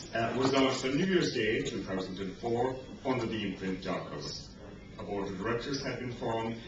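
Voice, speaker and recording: Man at a moderate pace, with audible room echo and noticeable background noise. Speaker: reader at a book event. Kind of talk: public reading. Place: bar. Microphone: camera far.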